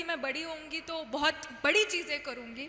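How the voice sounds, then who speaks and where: With a Kannada accent, a woman uses a raised, projected voice that is extremely high in pitch and bright and sharp in tone. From India, Udupi, Karnataka. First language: Kannada (speaking Hindi). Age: 20s. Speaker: former student union president. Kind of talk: stage talk. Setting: stage with audience.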